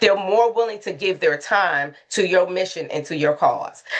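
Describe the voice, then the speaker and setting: The speaker is a woman. Her voice is pitched in the middle range. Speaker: consultant and museum docent. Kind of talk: webinar presentation. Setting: video call. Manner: fast.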